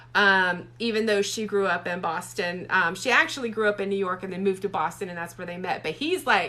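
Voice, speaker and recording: Speaking with a Southern US accent, a woman talks at a fairly quick pace, her medium pitch showing ordinary variation. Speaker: romance author. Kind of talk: casual livestream chat. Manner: chatty, many fillers.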